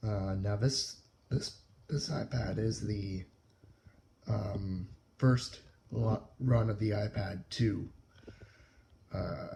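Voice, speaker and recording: A quiet, somewhat breathy voice with a dark, mellow tone, ordinary pitch variation, a very slow pace, and long, frequent pauses. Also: man, fairly low pitch for a man. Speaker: tech YouTuber. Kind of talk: casual tech review talk. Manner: hesitant, many filler words.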